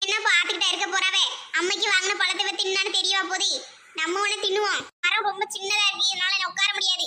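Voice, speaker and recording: Using a cartoonish character voice, a woman talks at an extremely high pitch with monotone, flat intonation at a moderate pace. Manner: grumbling, chatty.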